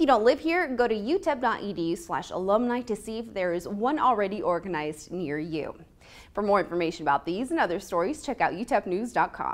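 The delivery runs at a very fast pace. Its pitch swings very widely. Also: woman, medium pitch for a woman. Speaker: university newscast anchor. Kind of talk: news anchor read. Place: classroom.

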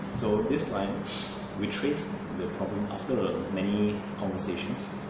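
A moderate pace amid audible room echo and loud background noise. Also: man. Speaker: fitness or nutrition coach. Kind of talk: interview answer. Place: gym.

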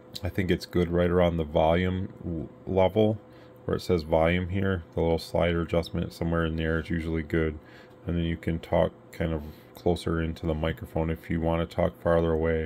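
A man's very deep, low pitch, monotone and flat, at a fairly quick pace with light background noise. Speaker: radio equipment seller. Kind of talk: product explanation for a customer. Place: workshop.

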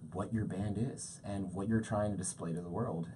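A man's fairly low, somewhat breathy voice with a dark, mellow tone, an American accent, ordinary pitch variation and audible room echo. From Maryland, US (Columbia). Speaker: music venue talent buyer. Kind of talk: interview.

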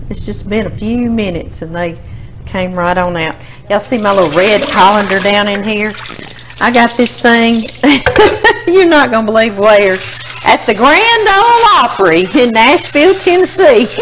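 Over noticeable background noise, a woman talks at a moderate pace with very wide pitch swings and long, frequent pauses. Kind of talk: cooking tutorial chat. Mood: cheerful, laughing. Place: kitchen.

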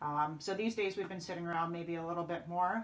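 At a fairly quick pace, a woman talks with a fairly low pitch over light background noise. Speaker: wellness instructor. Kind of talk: tutorial. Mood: calm, caring. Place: home room. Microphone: camera far.

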